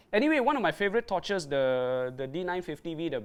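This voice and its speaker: A man talks at a fairly quick pace with lively intonation and a fairly high pitch, on a very clean recording with a silent background. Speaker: dive gear presenter. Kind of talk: live stream tutorial. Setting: Facebook live stream. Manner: hesitant, filler-heavy.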